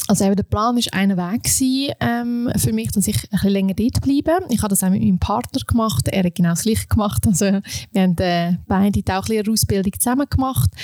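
A woman with an Aargau accent, somewhat breathy and dark, mellow in tone, at a fairly quick pace with lively intonation and very even loudness. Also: medium pitch for a woman, hardly any pauses, dry, close sound with no echo. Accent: Swiss German (Aargau). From Switzerland, canton Aargau. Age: 30s. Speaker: vocational education specialist, former dive resort manager. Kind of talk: interview.

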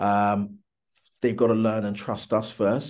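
A man's fairly low voice in a British accent. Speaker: entrepreneur. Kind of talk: interview. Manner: halting.

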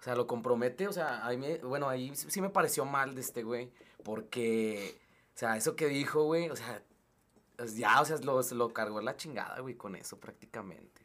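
This man has a plain, everyday voice at a medium pitch. He keeps a moderate pace with ordinary pitch variation. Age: 30s. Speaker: music label owner. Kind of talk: casual chat.

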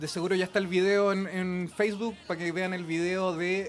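Someone speaks at a fairly quick pace in a Chilean accent, with music in the background. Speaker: musician in a medieval-style band. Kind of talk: casual chat.

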